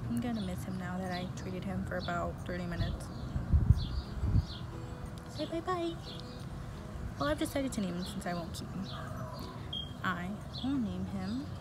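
Music plays in the background as a woman speaks with long, frequent pauses. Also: moderate pace. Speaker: vlogger. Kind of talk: casual vlog chat. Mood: tender, slightly sad. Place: street. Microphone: phone near.

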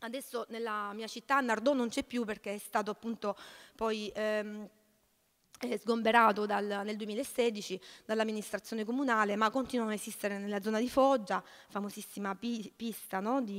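A woman with a fairly high voice speaks in a flat monotone at a moderate pace over a quiet background. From southern Italy, Salento (Lecce province); southern Italy. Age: 30s. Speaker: social cooperative president, activist; speaker. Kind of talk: panel talk. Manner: halting, many repetitions. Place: hall. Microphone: podium.

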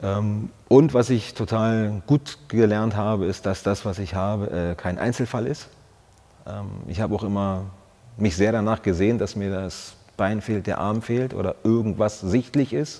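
Fairly low, dark and mellow male speech with ordinary pitch variation at a fairly slow pace. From Brandenburg, eastern Germany. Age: 40s. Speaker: soldier, former paratrooper squad leader. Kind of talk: interview answer. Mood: reflective, earnest, personal. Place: studio. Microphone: lapel.

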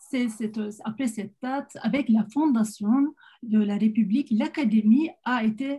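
Against a quiet background, a woman with a Turkish accent speaks at a very slow pace with a fairly high pitch, a dark, mellow tone and ordinary pitch variation. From Turkey. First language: Turkish (speaking French). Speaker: psychiatrist; presenter. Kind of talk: online panel talk. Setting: video call. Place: home room. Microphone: webcam.

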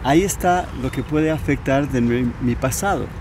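A man speaks at a fairly slow pace with lively intonation. The sound is dry with no echo, though there is noticeable background noise. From Spain. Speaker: coach teaching a method for removing mental blocks. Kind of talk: casual interview. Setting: outdoors in a park. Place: garden. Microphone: lapel.

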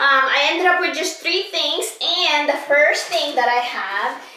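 In a raised, projected voice, a woman speaks fairly slowly with ordinary pitch variation, and room echo is audible. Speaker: haul vlogger. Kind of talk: casual vlog chat. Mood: upbeat, enthusiastic. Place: home room. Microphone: camera far.

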